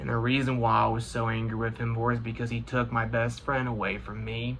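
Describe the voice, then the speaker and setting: A man with an American accent speaks at a fairly quick pace, with audible room echo. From US Midwest, Indiana. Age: 20s. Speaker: gaming YouTuber. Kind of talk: personal vlog monologue. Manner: halting.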